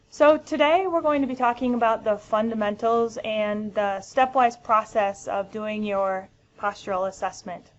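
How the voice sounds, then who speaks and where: A woman with an American accent, fairly high pitch and ordinary pitch variation, at a moderate pace with hardly any pauses. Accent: American, noticeable. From US Midwest, Michigan. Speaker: physical therapist presenter. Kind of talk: educational webinar. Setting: webinar. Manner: frequent filler ums.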